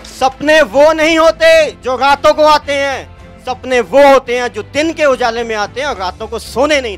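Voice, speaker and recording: Over music in the background, a man with an extremely high pitch and ordinary pitch variation speaks in a passionate tone, his loudness swinging widely and his speech almost free of pauses. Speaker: motivational speaker. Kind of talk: motivational speech to college students. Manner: passionate, rousing.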